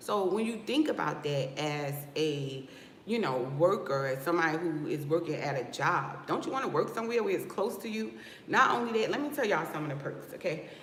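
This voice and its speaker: Speaking at a fairly quick pace in an animated tone with an American accent, the voice comes through noticeable background noise. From New Jersey. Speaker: loctician and business coach. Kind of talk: livestream talk to viewers.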